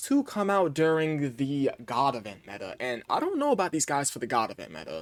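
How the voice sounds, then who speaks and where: This man speaks at a fairly high pitch. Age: young. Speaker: gaming video creator. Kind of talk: casual commentary. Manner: fast; animated.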